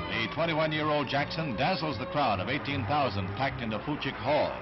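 A man's fairly high voice at a very fast pace, with lively intonation and clear music in the background. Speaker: newsreel narrator. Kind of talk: newsreel narration. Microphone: old recording.

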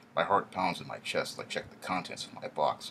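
At a fairly quick pace, a man with an extremely low pitch and vocal fry speaks in a bright, sharp tone with lively intonation.

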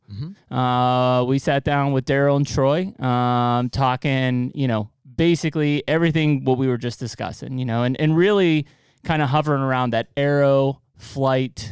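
Moderate pace and ordinary pitch variation, with a dry sound with no echo and a quiet background. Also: man. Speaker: podcast host. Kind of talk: podcast conversation. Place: studio. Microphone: studio mic.

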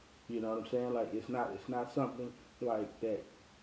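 In an American accent, a man delivers flat, monotone lines in a dark, mellow tone, with audible room echo. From Texas, North Dallas; Texas. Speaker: race promoter. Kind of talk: interview. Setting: at home. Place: home room.

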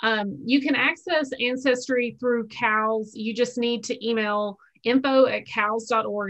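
With a normal speaking voice, a woman talks fairly slowly at a fairly high pitch with ordinary pitch variation against a quiet background. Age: 40s. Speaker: library outreach coordinator; library genealogy staff host. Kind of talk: Q&A moderation. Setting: video call. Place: home room. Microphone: webcam.

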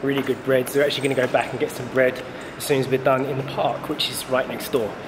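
Noticeable background noise runs under the clip. A man talks at a very fast pace. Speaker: vlogger. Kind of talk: casual vlog chat. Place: street. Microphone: phone near.

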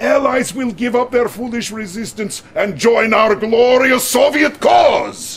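A man puts on a character voice with an extremely high pitch and vocal fry. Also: ordinary pitch variation, fairly slow pace.

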